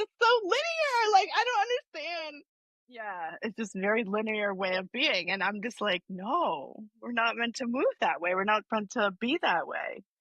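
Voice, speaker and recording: This loud voice moves at a moderate pace, with very wide pitch swings. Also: woman. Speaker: somatic healing practitioner. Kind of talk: casual chat. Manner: animated.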